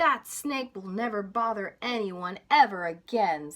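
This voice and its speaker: A woman's put-on character voice at medium pitch, with lively intonation and a fairly slow pace. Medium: read story.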